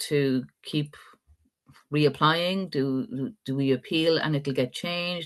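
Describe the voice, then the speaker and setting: With an Irish accent, a woman speaks at a very slow pace. Her pitch is very deep and low, with ordinary pitch variation. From Ireland. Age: 50s. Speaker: adoptee rights activist. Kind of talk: live interview talk.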